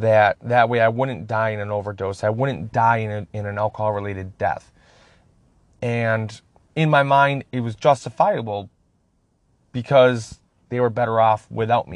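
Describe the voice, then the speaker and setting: Speaking at a moderate pace with long, frequent pauses, a man with an American accent uses a medium pitch and ordinary pitch variation over a quiet background. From Upper Peninsula of Michigan. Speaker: podcast host in addiction recovery. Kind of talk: personal testimony monologue.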